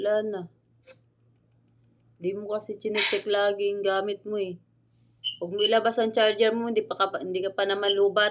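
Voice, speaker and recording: A woman speaks at a fairly quick pace in a monotone, flat intonation, broken by long, frequent pauses. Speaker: vlogger. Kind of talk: casual vlog chat.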